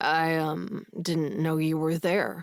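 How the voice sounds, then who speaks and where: This is a put-on character voice at a middle pitch. It sounds husky. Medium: read story. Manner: serious, firm.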